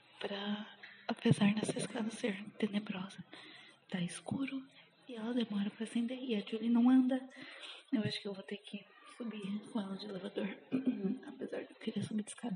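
Against noticeable background noise, a woman speaks at a fairly high pitch with fairly even intonation and long, frequent pauses. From São Paulo, Brazil. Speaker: podcaster. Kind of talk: personal diary monologue. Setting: outdoors walking dog. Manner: halting.

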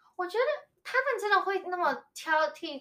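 With a Taiwanese accent, a woman projects a raised voice of bright, sharp tone at a moderate pace. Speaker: podcast guest. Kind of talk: casual chat. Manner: halting.

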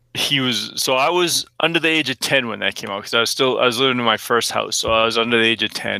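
This man talks at a very fast pace with hardly any pauses. His medium-pitched voice has a bright, sharp tone and ordinary pitch variation. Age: 40s. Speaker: podcast co-host. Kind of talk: casual chat.

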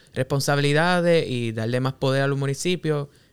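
A man's plain, everyday voice, fairly high in pitch, at a fairly quick pace with fairly even intonation and a dry, close sound with no echo. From Puerto Rico, Cabo Rojo. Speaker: podcast co-host, planner. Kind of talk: casual interview.

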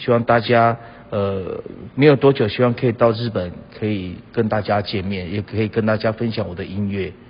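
A man with a plain, everyday voice talks at a fairly slow pace, his fairly low pitch carried by fairly even intonation. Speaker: singer-songwriter. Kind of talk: recorded comment message.

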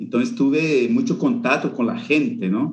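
A man with a Portuguese accent and very wide pitch swings. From Brazil, northeast. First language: Portuguese (speaking Spanish). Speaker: Jesuit brother, youth vocations coordinator. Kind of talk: interview conversation.

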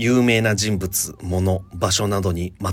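A man's voice sits very deep and low in pitch, somewhat breathy throughout. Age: 30s. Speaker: podcast host. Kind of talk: casual chat; storytelling.

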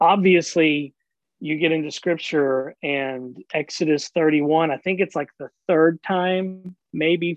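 A man with an American accent and an ordinary speaking voice, his intonation fairly even. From US South, rural Oklahoma. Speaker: pastor. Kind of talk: casual chat.

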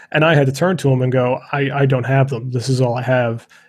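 A man speaks at a fairly quick pace and medium pitch. His voice is somewhat breathy and his intonation flat and monotone. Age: 30s. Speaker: podcast host, photographer. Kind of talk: interview.

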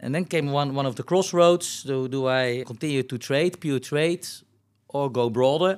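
A man with a Dutch accent and a fairly high pitch talks at a moderate pace with ordinary pitch variation, on a very clean recording with a silent background. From Netherlands, North Brabant. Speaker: business executive. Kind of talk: interview.

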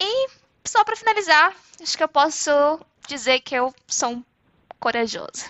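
A woman at an extremely high pitch with very wide pitch swings, a moderate pace and long, frequent pauses. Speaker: podcast co-host. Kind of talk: recorded self-introduction.

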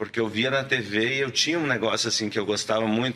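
A fairly low-pitched man at a fairly quick pace with fairly even intonation, noticeable background noise behind him. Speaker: actor. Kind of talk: casual chat.

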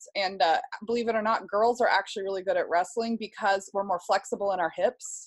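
Using an ordinary speaking voice with an American accent, a woman talks at a fairly quick pace, medium in pitch and fairly even in intonation. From US Pacific Northwest, Seattle. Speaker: homeschooling mother and social media creator. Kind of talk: casual interview chat.

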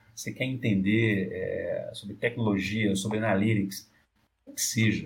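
The voice belongs to a man. His delivery is fairly slow. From Brazil, Northeast (Olinda, Pernambuco). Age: 40s. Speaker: business executive. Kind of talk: interview.

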